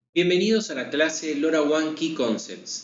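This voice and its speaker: Someone speaks in an Argentine accent. Room echo is audible. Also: man. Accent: Argentine (Rioplatense) Spanish. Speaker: sales manager presenting a technical webinar. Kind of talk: webinar lecture. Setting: online webinar.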